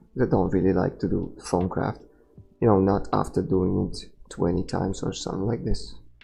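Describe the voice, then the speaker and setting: A man with a non-native accent speaks at a moderate pace in a very deep, low, dark and mellow voice with vocal fry and ordinary pitch variation. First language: not English. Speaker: gaming streamer. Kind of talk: live game commentary. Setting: live stream.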